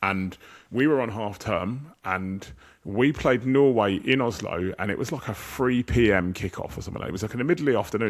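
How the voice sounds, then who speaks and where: Someone with an English accent talks at a fairly quick pace with lively intonation. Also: man. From England. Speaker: football podcast host. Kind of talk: casual chat.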